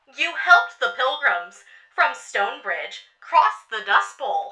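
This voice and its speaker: A female-sounding voice uses a put-on character voice at a fairly slow pace. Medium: audio drama.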